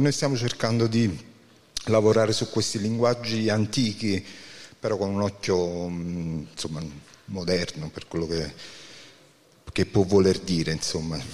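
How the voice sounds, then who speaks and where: Speaking at a moderate pace, a man uses a fairly low pitch. His pitch varies in an ordinary way. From Naples area, Campania. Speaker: band musician. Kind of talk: interview.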